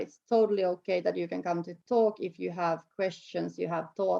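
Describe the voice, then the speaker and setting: A woman speaks with a Finnish accent. Her pace is moderate. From Finland, Tampere. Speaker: snowboard program organizer. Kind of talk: interview conversation. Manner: halting.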